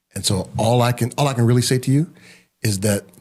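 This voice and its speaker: A man talks in a medium pitch with a somewhat breathy voice. His intonation is lively. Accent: American. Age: 60s. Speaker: pastor and leadership coach. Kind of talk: casual interview.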